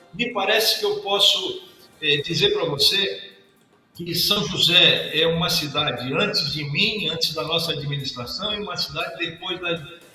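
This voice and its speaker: Through audible room echo and noticeable background noise, a man speaks at a fairly slow pace with a high pitch and ordinary pitch variation. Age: 60s. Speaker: senator. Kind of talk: interview. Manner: repetitive, halting fillers.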